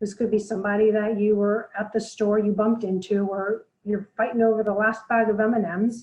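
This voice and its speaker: A soft-spoken woman talks at a fairly high pitch and a fairly quick pace, with hardly any pauses. Her intonation is monotone and flat, and her loudness stays very even. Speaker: blogger and self-defense presenter. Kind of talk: webinar presentation. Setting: online webinar.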